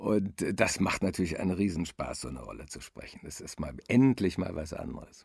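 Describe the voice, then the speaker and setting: A man's very deep, low voice with vocal fry and lively intonation, at a moderate pace with hardly any pauses and big swings in loudness. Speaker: voice actor and narrator. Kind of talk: interview.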